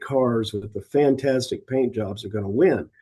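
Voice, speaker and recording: A man speaks at a medium pitch and a fairly slow pace. His tone is dark and mellow, with ordinary pitch variation. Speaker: car show organizer and judge. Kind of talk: casual interview. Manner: halting, repeats words.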